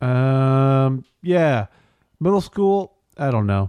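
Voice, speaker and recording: Dark, mellow tone with very wide pitch swings, in a dry, close sound with no echo and a quiet background. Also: man. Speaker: podcast co-host. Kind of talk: casual chat. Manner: doesn't enunciate.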